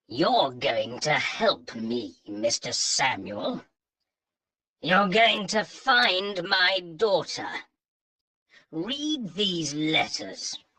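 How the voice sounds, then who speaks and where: A man's put-on character voice, high-pitched with very wide pitch swings, at a very slow pace with long, frequent pauses. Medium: read story. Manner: commanding.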